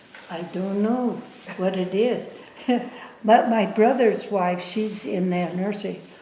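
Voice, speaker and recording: A woman's very slow speech with long, frequent pauses and fairly even intonation, plus audible room echo and noticeable background noise. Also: medium pitch for a woman. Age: 90s. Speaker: oral history interviewee. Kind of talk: oral history interview. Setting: filmed interview. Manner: halting.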